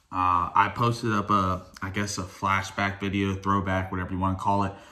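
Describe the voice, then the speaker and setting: A man's fairly low voice at a fairly quick pace, monotone and flat, with audible room echo. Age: 20s. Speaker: drag racer and vlogger. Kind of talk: casual vlog talk.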